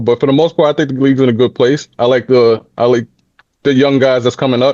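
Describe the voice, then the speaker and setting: Dry and close with no echo, a man's medium-pitched voice carries a New York accent. He talks at a fairly quick pace with fairly even intonation. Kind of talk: casual chat.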